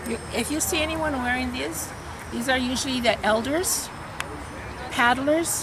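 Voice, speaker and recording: A woman with an American accent talks at a moderate pace in a fairly high pitch. Her intonation is lively, and there is noticeable background noise. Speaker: professor. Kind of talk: interview answer. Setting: outdoors.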